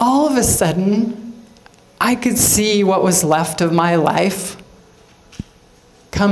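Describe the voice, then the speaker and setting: A woman talks with ordinary pitch variation. Audible room echo and noticeable background noise are present. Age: 60s. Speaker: motivational speaker, cancer survivor. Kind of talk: inspirational talk.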